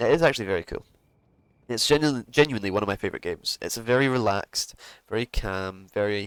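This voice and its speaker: With a Scottish accent, a man talks at a fairly quick pace with lively intonation in a dry, close sound with no echo. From Scotland. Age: 20s. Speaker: gaming streamer. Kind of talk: gameplay commentary. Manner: casual, relaxed.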